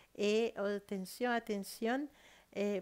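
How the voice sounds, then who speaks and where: A woman talks at a very slow pace with medium pitch. The recording is very clean, with a silent background. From South America. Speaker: tarot reader. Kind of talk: tarot reading monologue. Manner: hesitant, many fillers.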